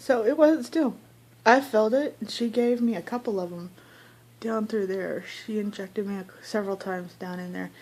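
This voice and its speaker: A woman with a fairly high pitch speaks at a moderate pace, showing ordinary pitch variation and big swings in loudness. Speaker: vlogger. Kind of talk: casual vlog monologue. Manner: chatty.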